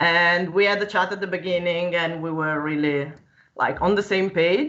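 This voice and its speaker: Speaking at a moderate pace with a slight Italian accent, a woman keeps a fairly low pitch and fairly even intonation. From Italy. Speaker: 3D digital fashion designer. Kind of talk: casual live-stream conversation. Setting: live stream, video call.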